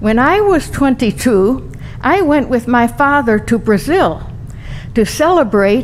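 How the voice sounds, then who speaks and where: Noticeable background noise sits behind a woman with a high pitch. She talks at a very slow pace, her pitch swinging very widely. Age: 80s+. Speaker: adult bat mitzvah celebrant. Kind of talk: speech.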